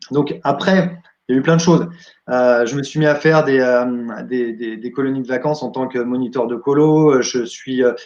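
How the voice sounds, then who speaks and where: His pitch is medium, his pace moderate, and the man's voice rises and falls in an ordinary way. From France, Champagne (Épernay). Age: 40s. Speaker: entertainer and wedding DJ. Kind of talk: interview. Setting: live video stream. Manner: hesitant with many fillers.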